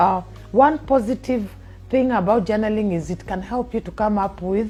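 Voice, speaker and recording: A woman speaks at a fairly slow pace in a fairly high pitch, with ordinary pitch variation and noticeable background noise. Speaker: talk show host, life coach. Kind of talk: educational talk.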